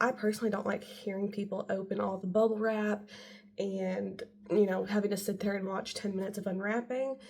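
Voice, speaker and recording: Here a woman speaks at a medium pitch. Her intonation is monotone and flat. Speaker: beauty vlogger. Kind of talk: product haul video. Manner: casual, filler-heavy.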